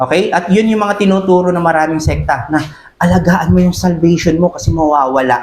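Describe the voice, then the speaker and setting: This man speaks at a fairly quick pace in a high voice. His loudness stays very even, and room echo is audible. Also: ordinary pitch variation. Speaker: pastor. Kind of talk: sermon. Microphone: voice too quiet on mic.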